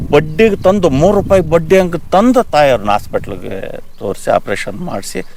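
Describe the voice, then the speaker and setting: The man's high voice climbs and drops over a very wide range. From Jagalur taluk, central Karnataka, India. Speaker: farmer. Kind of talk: interview testimony.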